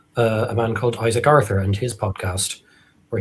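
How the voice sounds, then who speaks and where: A man speaks with an Irish accent at a fairly low pitch. His intonation is flat and monotone. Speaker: author. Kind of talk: live interview. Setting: live stream.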